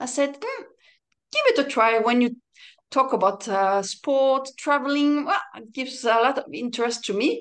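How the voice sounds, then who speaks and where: With a French accent, a woman speaks at a high pitch and a moderate pace. Her intonation is lively, with big swings in loudness. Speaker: padel player and coach. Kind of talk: interview chat.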